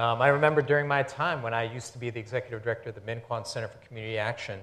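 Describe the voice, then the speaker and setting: A man talks in a somewhat breathy voice. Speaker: immigrant rights advocate; panelist. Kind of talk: panel discussion. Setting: stage with audience. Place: stage. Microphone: lapel.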